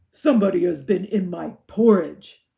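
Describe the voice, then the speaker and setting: A put-on character voice growls at a middle pitch. The pace is moderate. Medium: read story.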